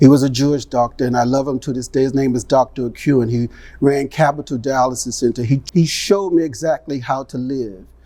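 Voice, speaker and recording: Dark and mellow in tone, a man's fairly high voice moves at a moderate pace with ordinary pitch variation. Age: 60s. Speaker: kidney transplant patient. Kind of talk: testimony. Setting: studio with live audience. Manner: animated.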